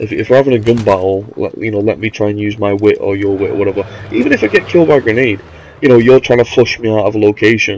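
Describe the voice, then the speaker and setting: A man speaks at a very fast pace in a fairly low voice with fairly even intonation. Noticeable background noise can be heard. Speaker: gamer. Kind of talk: casual gameplay commentary. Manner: hesitant, rambling.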